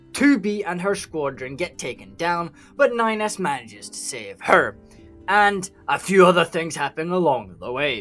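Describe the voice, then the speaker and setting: Music plays behind a man speaking at a moderate pace in a Scottish accent, his tone energetic. His voice sits high and swings very widely in pitch. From Scotland. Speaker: gaming lore YouTuber. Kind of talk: video game lore explainer narration. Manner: irreverent, profane, energetic.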